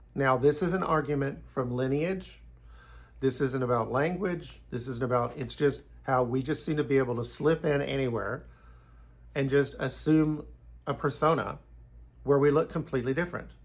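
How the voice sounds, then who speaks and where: Somewhat breathy and medium in pitch, a man speaks with long, frequent pauses. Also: ordinary pitch variation, moderate pace. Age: 60s. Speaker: YouTuber giving Bible and history commentary. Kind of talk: casual monologue.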